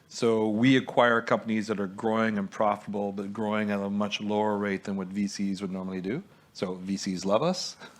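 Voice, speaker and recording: This man talks at a fairly quick pace in a Quebec French accent. His intonation stays monotone and flat. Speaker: investor. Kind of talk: panel discussion.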